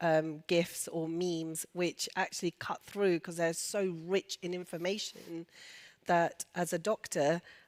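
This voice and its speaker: The voice moves at a moderate pace. The recording is very clean with a silent background and a dry, close sound with no echo. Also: woman. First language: Urdu and Punjabi. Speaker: doctor. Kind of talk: panel discussion.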